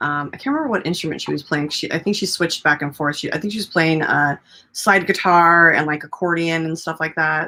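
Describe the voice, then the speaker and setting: A woman's fairly low voice, bright and sharp in tone, at a fairly quick pace with ordinary pitch variation, on a very clean recording with a silent background. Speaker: talk show host. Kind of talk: casual live-stream interview talk.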